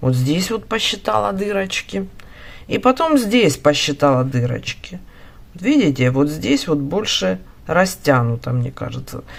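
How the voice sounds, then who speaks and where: A woman's very deep, low voice with very wide pitch swings. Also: fairly slow pace. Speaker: knitting instructor. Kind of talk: tutorial. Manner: casual, thinking aloud.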